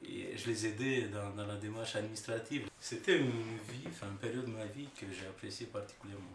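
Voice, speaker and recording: A man with a Romanian accent talks at a fairly quick pace with hardly any pauses, his pitch medium. The room echoes audibly, and background noise is noticeable. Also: ordinary pitch variation. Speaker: engineer and researcher, immigrant. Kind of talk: interview testimony. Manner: hesitant, many fillers.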